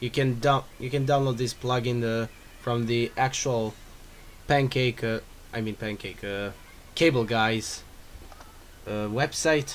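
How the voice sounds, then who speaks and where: Speaking at a fairly slow pace with long, frequent pauses, a man with a Croatian accent keeps a medium pitch and fairly even intonation. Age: 20s. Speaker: DJ and music producer. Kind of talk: tutorial. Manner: halting, many restarts and fillers.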